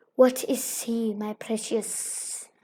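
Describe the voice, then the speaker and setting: A woman's put-on character voice, fairly high in pitch, with hissing. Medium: read story. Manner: talks to himself, sly.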